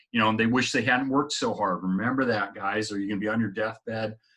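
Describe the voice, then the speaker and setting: A man speaks with a fairly low pitch and a bright, sharp tone. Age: 50s. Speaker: motivational vlogger. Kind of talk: casual personal-development talk to camera. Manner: conversational, with frequent fillers.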